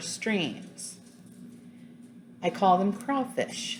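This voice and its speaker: Speaking at a very slow pace, a woman sounds somewhat breathy. Her pitch is medium, with ordinary variation. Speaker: fiber arts YouTuber. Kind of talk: casual tag video monologue. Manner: casual, with frequent fillers.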